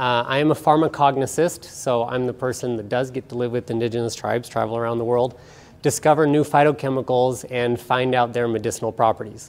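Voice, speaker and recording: At a fairly quick pace, the speaker talks in a plain, everyday voice with fairly even intonation. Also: man, medium pitch for a man. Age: 40s. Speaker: nutrition expert. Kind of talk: lecture. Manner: casual.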